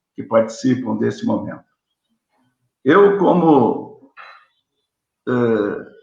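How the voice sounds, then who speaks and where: A man at a very slow pace, with audible room echo. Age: 60s. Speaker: Sunday school teacher. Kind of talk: Bible lesson. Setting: livestream.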